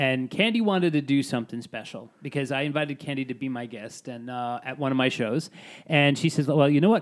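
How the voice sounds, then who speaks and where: Talking at a very fast pace, a man with a New York accent speaks in a fairly high pitch. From Staten Island, New York. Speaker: singer-songwriter. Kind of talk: casual chat.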